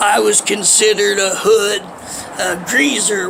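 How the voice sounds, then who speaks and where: A man talks with an American accent. Noticeable background noise runs under his voice. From Ohio, US Midwest. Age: 40s. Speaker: homeless vlogger. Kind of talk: personal life story monologue. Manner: casual, hesitant with fillers.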